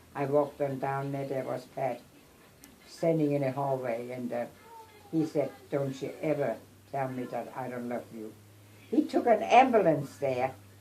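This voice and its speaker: Over noticeable background noise, a woman with a very deep, low voice speaks at a moderate pace with ordinary pitch variation, big swings in loudness, and long, frequent pauses. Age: 80s+. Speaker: grandmother. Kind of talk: family storytelling. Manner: halting.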